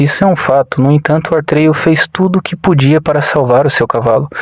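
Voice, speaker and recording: At a moderate pace, a man with a countryside Brazilian accent and a fairly high voice speaks with ordinary pitch variation in a dry, close sound with no echo, over noticeable background noise. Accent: countryside (interior) Brazilian. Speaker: motivational content creator. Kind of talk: reflective motivational monologue. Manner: conversational, informal asides.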